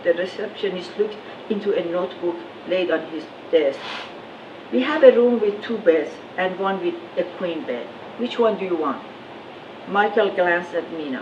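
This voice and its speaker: The speech moves at a moderate pace with lively intonation and long, frequent pauses over noticeable background noise. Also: woman, medium pitch for a woman. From Iran. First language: Farsi. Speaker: author. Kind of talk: reading from own novel.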